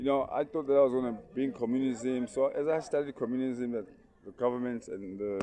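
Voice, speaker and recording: A man with a South African accent at a moderate pace, fairly even intonation, and noticeable background noise. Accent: South African Zulu English. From South Africa, Durban. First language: Zulu. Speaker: vlogger and aspiring politician. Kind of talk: casual motivational vlog monologue. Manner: halting, many repetitions and fillers.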